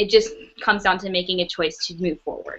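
A woman with an American accent at a moderate pace, quiet background. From US South, North Carolina. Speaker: trafficking survivor and speaker. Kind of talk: testimony. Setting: video call. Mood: reflective, earnest. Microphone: webcam.

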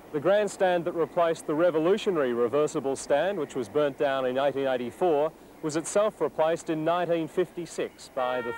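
Noticeable background noise accompanies a man speaking at a moderate pace with ordinary pitch variation. The sound is dry, with no echo. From Australia. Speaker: narrator. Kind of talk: documentary narration. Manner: formal, steady, measured. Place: stadium. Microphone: lapel.

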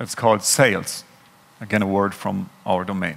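Speaking with a German accent, a man uses lively intonation. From Germany. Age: 30s. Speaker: software consultant; conference speaker. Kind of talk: conference talk. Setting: stage with audience. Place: hall.

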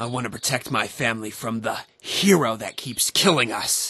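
Putting on a raspy character voice, a man speaks at a medium pitch and a moderate pace with ordinary pitch variation. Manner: earnest, naive.

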